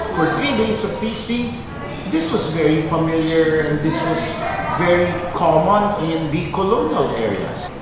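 Amid loud background noise and audible room echo, a man talks fairly slowly with ordinary pitch variation. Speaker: guest. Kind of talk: conversational explanation. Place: cafe.

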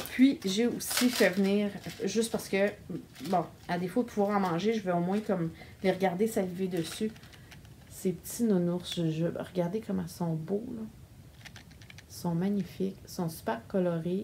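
A woman with a Quebec accent talks at a fairly slow pace with ordinary pitch variation and long, frequent pauses over light background noise. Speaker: knitting vlogger. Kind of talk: casual video monologue. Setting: home recording on camera. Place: home room. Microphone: phone near.

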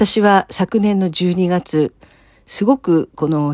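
Fairly low in pitch, a woman's voice has a dark, mellow tone and lively intonation, heard dry and close with no echo in a very clean recording with a silent background. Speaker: church member sharing faith story. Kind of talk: testimony. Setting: solo recording.

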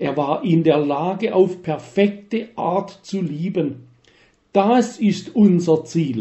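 Speaking at a very slow pace, a man uses a high pitch with lively intonation. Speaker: retired church minister. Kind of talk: scripted narration.

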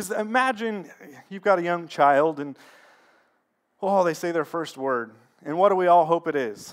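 A man speaks in a high voice. He leaves long, frequent pauses. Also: lively intonation, moderate pace, quiet background. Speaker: pastor. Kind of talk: sermon with prayer. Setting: church. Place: church.

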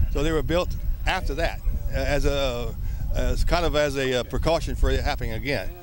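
The sound is dry with no echo, though background noise is noticeable. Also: man. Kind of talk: interview answer. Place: open country.

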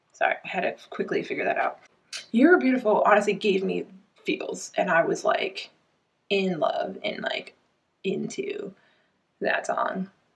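A woman's fairly slow speech with long, frequent pauses. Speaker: reaction vlogger. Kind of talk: casual vlog chat. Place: home room. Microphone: webcam.

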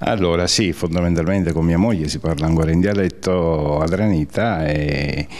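Over noticeable background noise, a man with a very deep, low pitch talks at a moderate pace in a fairly even intonation. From Sicily, Adrano. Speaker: emigrant community leader. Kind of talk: interview. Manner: halting.

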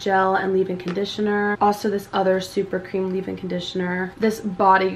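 A woman speaks at a fairly quick pace with hardly any pauses and monotone, flat intonation, against light background noise. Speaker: vlogger. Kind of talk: casual vlog chat. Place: home room. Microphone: phone near.

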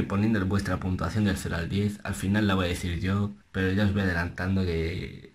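Soft-spoken and fairly low in pitch, the man talks at a moderate pace. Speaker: music reaction youtuber; reaction youtuber. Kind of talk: reaction video commentary; casual reaction commentary. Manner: soft-spoken, speaking low; animated. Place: home room. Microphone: webcam.

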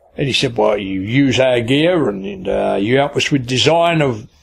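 The man's pitch swings across a very wide range. He keeps to a moderate pace. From England, Kent. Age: 70s. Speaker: angling broadcaster. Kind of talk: life story interview. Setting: fishing hut by a river.

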